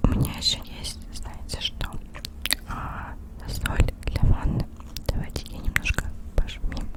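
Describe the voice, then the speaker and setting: Whispering at a very slow pace, the speaker leaves long, frequent pauses, with big swings in loudness and noticeable background noise. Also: woman. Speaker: ASMR content creator. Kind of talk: ASMR whisper.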